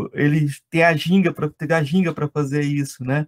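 An unremarkable speaking voice, a man talks at a moderate pace with fairly even intonation, the sound dry and close with no echo. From Brazil, Goiás. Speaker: podcast host and law lecturer. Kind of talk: interview conversation.

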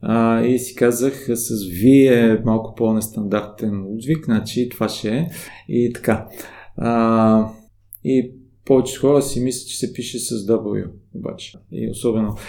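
A man speaks in a dark, mellow tone at a medium pitch. His pace is fairly slow, his intonation fairly even. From Bulgaria. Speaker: shibari teacher. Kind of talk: casual interview. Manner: hesitant, many fillers.

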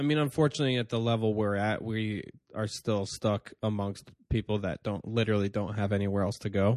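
Talking at a fairly quick pace, a man uses a plain, everyday voice, fairly low in pitch with fairly even intonation, in a dry, close sound with no echo. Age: 30s. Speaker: comedian and podcast host. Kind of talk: casual chat. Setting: studio.

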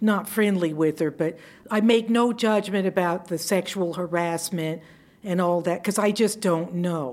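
With an American accent, a woman talks at a fairly slow pace in a normal speaking voice, her pitch fairly low with ordinary pitch variation and her loudness very even. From US South, Georgia (Savannah). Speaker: retired judge. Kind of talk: interview.

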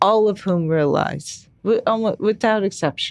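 This woman with an American accent talks at a fairly slow pace with fairly even intonation. The recording is very clean, with a silent background. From US Midwest, Chicago. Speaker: real estate executive. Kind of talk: interview. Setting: podcast studio.

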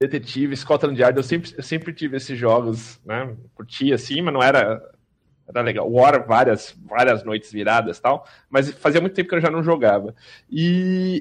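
Over a quiet background, a man with an unremarkable speaking voice talks at a moderate pace. His pitch is medium, with ordinary pitch variation. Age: 40s. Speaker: RPG player. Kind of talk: casual chat.

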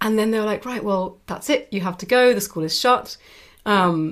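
Speaking with a British accent, a woman keeps to a medium pitch with ordinary pitch variation. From Britain. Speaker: author and web psychologist. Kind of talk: interview.

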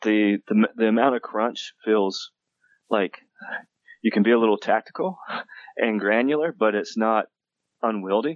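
A man speaks at a fairly slow pace, leaving long, frequent pauses. His pitch is medium, with ordinary pitch variation. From US South, western North Carolina (Appalachia). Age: 40s. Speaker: game author and university teacher. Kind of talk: interview. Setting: phone call.

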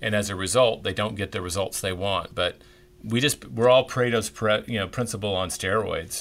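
A man speaks at a fairly quick pace with an American accent. His pitch is fairly low, and he has a plain, everyday voice. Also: ordinary pitch variation. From Tennessee, US South. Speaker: author and publisher. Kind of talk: interview.

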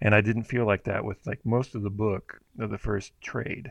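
A man with an American accent has an unremarkable speaking voice, fairly low in pitch, with fairly even intonation and a moderate pace. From Houston, Texas. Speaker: podcast co-host. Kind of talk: casual chat. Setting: remote recording.

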